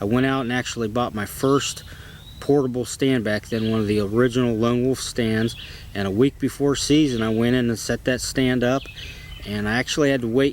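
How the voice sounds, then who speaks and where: Speaking with an American accent, a man of medium pitch keeps a fairly quick pace and fairly even intonation amid noticeable background noise. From Ohio, US Midwest. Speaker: bowhunter. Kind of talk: personal storytelling. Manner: casual, with filler words.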